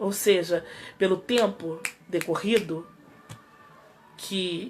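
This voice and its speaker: A woman's medium-pitched voice, very slow and fairly even in intonation, over background music. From Rio de Janeiro, Brazil. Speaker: pastor. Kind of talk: sermon.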